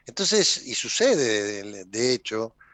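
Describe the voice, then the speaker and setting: The man's voice makes very wide pitch swings. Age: 70s. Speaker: politician. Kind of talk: interview.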